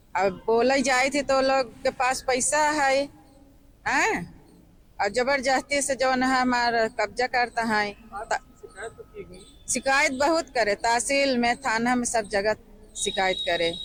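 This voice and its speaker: A woman's high-pitched voice with ordinary pitch variation, very even loudness, and long, frequent pauses. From Pratapgarh, Uttar Pradesh. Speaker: villager making a complaint. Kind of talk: interview.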